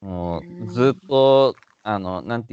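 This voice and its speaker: A man speaks at a very slow pace and medium pitch with ordinary pitch variation. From Yokohama/Yokosuka, Japan. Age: 30s. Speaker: actor and MC. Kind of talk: casual interview chat.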